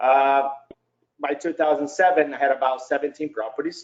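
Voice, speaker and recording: A man talks with a Brazilian Portuguese accent. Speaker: real estate investor. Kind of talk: webinar presentation.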